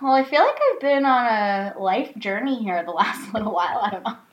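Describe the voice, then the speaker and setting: Against noticeable background noise, a woman speaks at a fairly quick pace in a fairly high pitch with lively intonation. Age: 20s. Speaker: dating podcast co-host. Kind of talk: casual chat.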